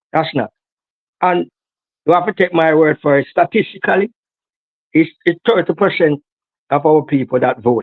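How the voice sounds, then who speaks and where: A man speaks with a Jamaican accent at a moderate pace. His voice sits fairly high, with ordinary pitch variation. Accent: Jamaican, Patois-inflected. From Jamaica, inner city. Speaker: political activist. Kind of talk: interview. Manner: halting, many repeated words.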